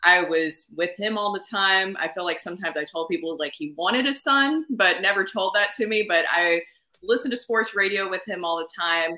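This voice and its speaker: A woman with an American accent speaks fairly quickly at a medium pitch. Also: lively intonation. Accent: Southern, comes out at times. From US South, Nashville, Tennessee. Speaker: sportscaster and radio co-host. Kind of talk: casual interview. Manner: animated.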